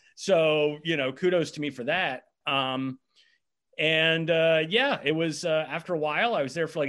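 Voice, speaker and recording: A man with an unremarkable speaking voice and an American accent talks at a fairly high pitch, with ordinary pitch variation. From US, eastern shore of Virginia. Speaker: quiz host and bar owner. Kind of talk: casual chat. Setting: video call.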